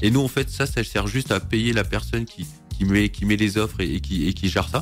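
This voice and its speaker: Music plays behind a man speaking in a very deep, low pitch. His pitch swings very widely. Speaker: co-founder of a local platform. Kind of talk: radio interview answer.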